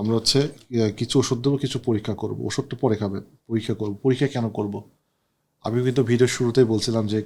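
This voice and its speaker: In a very clean recording with a silent background, a man with a normal speaking voice talks at a medium pitch, his intonation fairly even. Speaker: doctor consulting a patient on camera. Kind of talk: on-camera doctor consultation.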